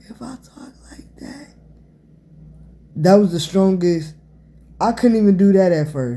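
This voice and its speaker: The pace is fairly slow. Long, frequent pauses break up the speech. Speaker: vlogger telling personal injury story. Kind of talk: personal testimony vlog. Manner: varies volume to demonstrate; halting, struggles to get words out.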